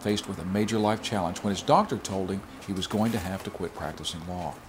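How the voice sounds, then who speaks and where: There is noticeable background noise throughout. Over it, a man talks at a fairly quick pace. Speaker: documentary host. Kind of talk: documentary narration.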